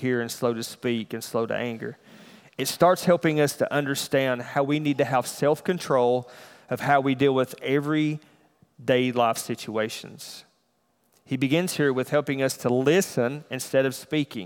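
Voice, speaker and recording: Moderate pace from a man with a Southern US accent, medium pitch and fairly even intonation, on a very clean recording with a silent background. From US South. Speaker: church elder preaching. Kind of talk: sermon.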